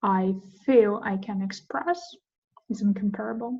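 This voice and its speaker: Speaking with a Russian accent, a woman has a dark, mellow, somewhat breathy tone. Her pitch is fairly high and her pace fairly slow. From Ukraine. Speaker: podcast host. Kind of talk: casual chat. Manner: halting.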